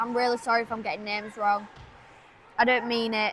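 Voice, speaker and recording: Over noticeable background noise, a woman speaks in a raised, projected voice. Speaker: amateur livestream commentator. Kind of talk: live commentary. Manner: hesitant, many fillers; loud, speaking over background noise.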